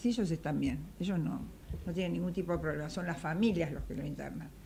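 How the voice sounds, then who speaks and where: At a fairly quick pace, this dark, mellow voice shows vocal fry and very wide pitch swings. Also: woman. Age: 70s. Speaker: political panel guest. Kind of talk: political talk show discussion. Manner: animated.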